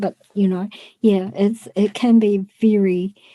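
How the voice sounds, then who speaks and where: A woman's medium-pitched, dark, mellow voice with fairly even intonation, in a dry, close sound with no echo. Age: 60s. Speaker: psychic medium. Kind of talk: casual interview, telling personal stories.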